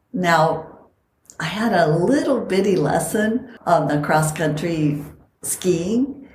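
In a room with audible echo, a woman with a fairly low pitch speaks very slowly, her intonation lively. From Costa Rica. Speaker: podcast host and longevity coach. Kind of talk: casual chat.

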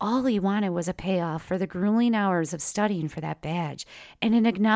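An unforced reading voice rises and falls with ordinary pitch variation.

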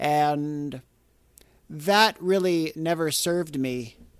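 Speaking with a Canadian accent, this man has a fairly high pitch. His voice sits toward the upper range. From Canada. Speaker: podcast host and mindfulness teacher. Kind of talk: solo monologue podcast. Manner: casual, with filler words.

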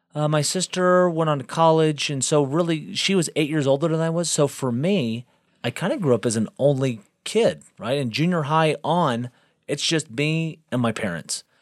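An ordinary speaking voice from a man with an American accent, fairly high in pitch, at a moderate pace with ordinary pitch variation, dry and close with no echo on a very clean recording with a silent background. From Texas (Galveston). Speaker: podcast guest, host's husband. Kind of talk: casual chat.

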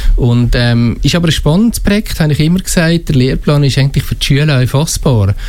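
A man with a slight Valais accent talks at a fairly quick pace amid noticeable background noise. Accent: slight Valais Swiss German. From Switzerland, Valais. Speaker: school administrator. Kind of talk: radio interview. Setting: studio.

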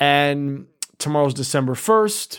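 With an American accent, a man speaks in a normal speaking voice at fairly high pitch and with lively intonation. The recording is very clean, the background silent. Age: 40s. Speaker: podcast host. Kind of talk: casual chat.

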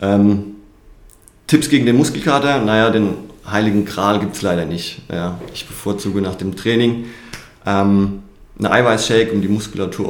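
A man speaks at a moderate pace in a fairly low pitch with ordinary pitch variation, over noticeable background noise and audible room echo. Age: 30s. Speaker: personal trainer and soldier. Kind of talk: interview.

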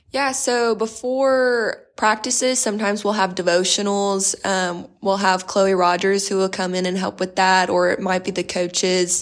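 A woman speaks with an American accent and a plain, everyday voice at a medium pitch. Her intonation is fairly even, and there are hardly any pauses. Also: moderate pace. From South Texas, Corpus Christi. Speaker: college basketball player. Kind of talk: interview.

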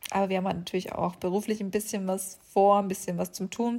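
Somewhat breathy, a woman's voice moves at a moderate pace in a medium pitch. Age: 20s. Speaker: podcast host. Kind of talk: casual monologue.

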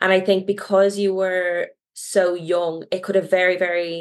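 Fairly slow and fairly even in intonation, a woman speaks at a medium pitch. Hers is an unremarkable speaking voice. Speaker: podcast co-host. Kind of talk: casual interview.

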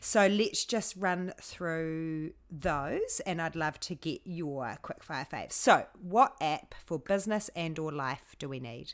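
A woman with a New Zealand accent speaks very slowly in a fairly low pitch, with hardly any pauses. Her intonation is lively, and the recording is very clean with a silent background. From New Zealand, Hamilton. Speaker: podcast host. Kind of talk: casual interview chat.

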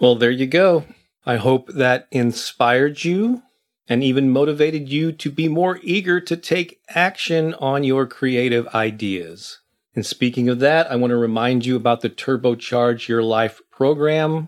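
A man speaks at a fairly slow pace in an unremarkable speaking voice, medium in pitch with ordinary pitch variation. The recording is very clean, with a silent background. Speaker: podcast host and creativity coach. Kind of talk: unscripted motivational pep talk of spoken first-person affirmations. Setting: studio recording with background music and reverb. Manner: earnest, encouraging, steady affirmation delivery; unscripted, warm and conversational when speaking to listeners.

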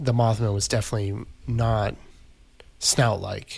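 The man's voice is medium in pitch and somewhat breathy. He talks at a moderate pace. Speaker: podcast co-host. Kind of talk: casual chat. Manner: enthusiastic, conversational.

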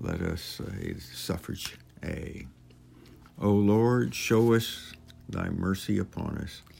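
A man with a fairly low pitch and a solemn tone speaks at a very slow pace with lively intonation and long, frequent pauses. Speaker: prayer leader. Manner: solemn, earnest, reverent, slightly halting.

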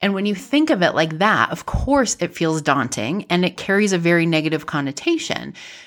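A woman with a fairly low pitch speaks at a fairly quick pace with lively intonation. She leaves hardly any pauses. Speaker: podcast host and business coach. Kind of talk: solo podcast monologue, casual. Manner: casual, unrehearsed, laughs often.

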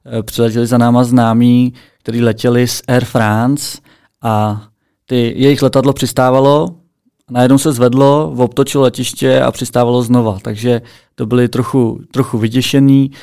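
A man speaks at a moderate pace and medium pitch, his tone dark and mellow and his intonation fairly even, on a very clean recording with a silent background. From Czech Republic, Plzeň. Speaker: podcast co-host. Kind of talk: casual chat. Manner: calm.

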